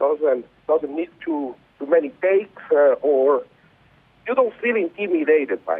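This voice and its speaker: A non-native accent with lively intonation and big swings in loudness. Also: man, fairly high pitch for a man, fairly slow pace. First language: not English. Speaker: artist. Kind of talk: interview. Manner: halting.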